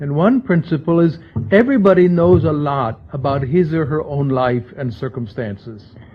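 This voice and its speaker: A man with a normal speaking voice, fairly high pitch, ordinary pitch variation and a fairly slow pace. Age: 60s. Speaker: libertarian think-tank scholar, book editor. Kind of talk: lecture.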